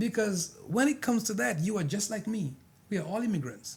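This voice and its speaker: Speaking with a non-native accent, a man swings his pitch very widely. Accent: foreign. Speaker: pastor. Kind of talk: panel discussion. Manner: animated.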